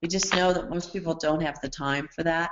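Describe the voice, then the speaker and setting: A woman's fairly low-pitched voice, an ordinary speaking voice. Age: 60s. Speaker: skincare product formulator. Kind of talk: training webinar Q&A.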